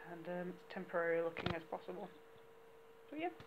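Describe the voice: A woman talks at a fairly quick pace with a fairly low pitch and lively intonation over faint background noise.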